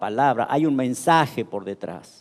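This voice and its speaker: A man talks at a medium pitch with lively intonation. He keeps a fairly slow pace. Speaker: pastor. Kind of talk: sermon. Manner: halting.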